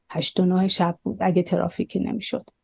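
Her voice somewhat breathy and dark and mellow in tone, a woman speaks at a medium pitch. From Iran. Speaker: immigrant business owner. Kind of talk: personal testimony interview.

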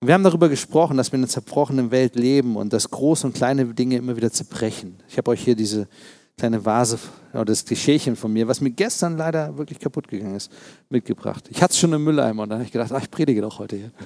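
A man with a dark, mellow tone talks at a very fast pace. The sound is dry and close with no echo, in a very clean recording over a silent background. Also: medium pitch for a man, ordinary pitch variation. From East Berlin, Germany. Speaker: pastor. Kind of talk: sermon.

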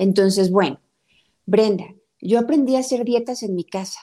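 With a dark, mellow tone, her voice sits fairly high for a woman. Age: 30s. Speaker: nutritionist and family counselor. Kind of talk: interview.

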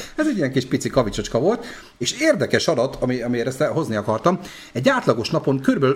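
Very fast speech with lively intonation plays against noticeable background noise. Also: man, medium pitch for a man. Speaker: podcast host. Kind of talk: casual chat. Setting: live stream.

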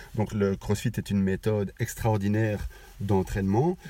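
Somewhat breathy, a man with a fairly low pitch and a dark, mellow tone talks at a moderate pace. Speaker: podcast host. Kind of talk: casual chat. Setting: in a car. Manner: halting.

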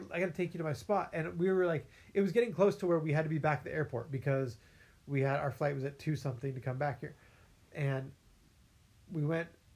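Somewhat breathy and fairly high-pitched, a man with an American accent talks at a very fast pace between long, frequent pauses, using ordinary pitch variation. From California. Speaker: podcast host. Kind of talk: casual chat.

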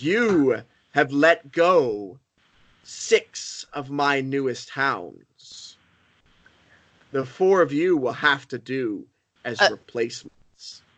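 A loud, booming put-on character voice at a low-to-middle pitch, very slow, with long, frequent pauses. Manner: commanding, threatening.

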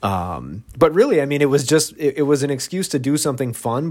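A man with an unremarkable speaking voice talks at a moderate pace with ordinary pitch variation, on a very clean recording with a silent background. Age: 40s. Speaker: marathon runner and author. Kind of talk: interview.

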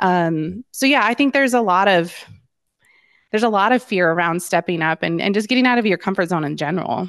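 A woman's ordinary speaking voice in an American accent, medium in pitch, fairly quick, with lively intonation over a quiet background. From Colorado, Denver suburbs. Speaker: real estate broker. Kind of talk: interview.

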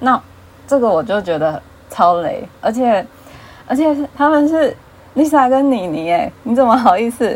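With a Taiwanese accent, a woman speaks at a moderate pace with long, frequent pauses, a high pitch and very wide pitch swings, over noticeable background noise. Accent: Taiwanese Mandarin. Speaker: fan fiction writer. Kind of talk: casual chat.

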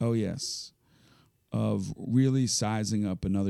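A dark, mellow tone in a Philadelphia accent, with ordinary pitch variation and a very slow pace. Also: man. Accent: Philadelphia-area American. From Philadelphia suburbs, Pennsylvania. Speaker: nonprofit youth basketball executive. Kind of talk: interview.

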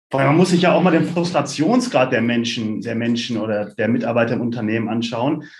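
A man at medium pitch, fairly quick in pace, with ordinary pitch variation and audible room echo. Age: 30s. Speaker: tech startup co-founder and CEO. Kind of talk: podcast interview.

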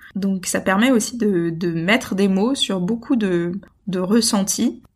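This woman's voice sits at a medium pitch and is somewhat breathy. She speaks at a fairly slow pace with ordinary pitch variation. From international childhood (Gabon, Brazil), French roots. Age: 20s. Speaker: eco-travel advocate. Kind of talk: casual interview. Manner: hesitant, many fillers and repetitions.

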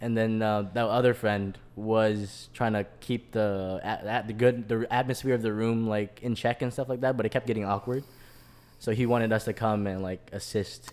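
In a medium pitch, a man speaks at a moderate pace with monotone, flat intonation. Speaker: podcast host. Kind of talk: casual chat. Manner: laughing often, casual.

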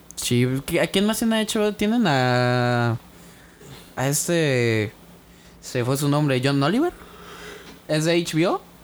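Very slow, with long, frequent pauses, a man speaks at a fairly high pitch, making very wide pitch swings while his loudness stays very even. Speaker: podcast co-host. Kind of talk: casual chat.

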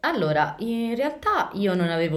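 Audible room echo follows a woman as she talks at a very slow pace. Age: 20s. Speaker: podcast host. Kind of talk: casual chat.

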